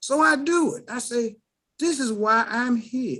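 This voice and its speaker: Pitched extremely high, a man speaks in a raised, projected voice with lively intonation. His tone is bright and sharp. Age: 60s. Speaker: Walmart produce worker, call participant. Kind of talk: motivational testimony. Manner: animated.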